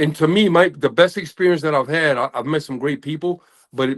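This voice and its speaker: This man has an ordinary speaking voice with a fairly high pitch, ordinary pitch variation, and an American accent. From United States. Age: 60s. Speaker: men's group member. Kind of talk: casual group discussion. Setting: video call.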